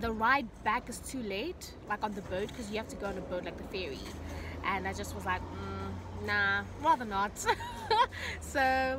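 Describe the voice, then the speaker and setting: Music plays in the background as a woman talks at a moderate pace, the sound dry with no echo. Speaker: vlogger. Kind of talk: casual vlog chat. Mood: excited, grateful. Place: car. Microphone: phone near.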